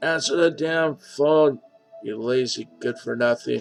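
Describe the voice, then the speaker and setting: A man's put-on character voice, shrill and fairly high, at a fairly slow pace with ordinary pitch variation and faint music in the background. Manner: shouting, scolding.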